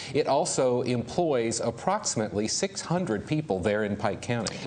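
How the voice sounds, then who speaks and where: Against noticeable background noise, a man with an American accent speaks at a medium pitch with lively intonation. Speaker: television news anchor and reporter. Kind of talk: live special report anchoring.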